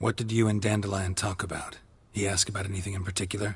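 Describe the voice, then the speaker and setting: Putting on a character voice, a man rattles along at a very fast pace in a fairly low pitch with monotone, flat intonation. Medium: video game. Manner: terse, dry.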